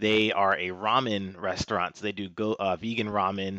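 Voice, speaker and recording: With an American accent, a plain, everyday voice speaks at a moderate pace against a quiet background. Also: man, dry, close sound with no echo. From Washington, D.C. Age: 30s. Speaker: finance professional and martial artist. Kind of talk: interview.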